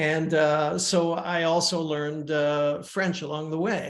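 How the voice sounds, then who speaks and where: A man speaks at a very slow pace in a fairly high pitch. His intonation is monotone and flat, and the room echo is audible. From Switzerland (Lausanne), multilingual upbringing. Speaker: folk rock musician. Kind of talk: interview. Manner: hesitant, many fillers.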